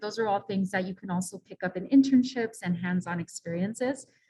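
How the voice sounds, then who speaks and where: The speech comes at a fairly quick pace with an American accent and ordinary pitch variation. The voice is somewhat breathy. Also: woman. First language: Spanish. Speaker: non-profit director, panelist. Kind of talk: panel discussion.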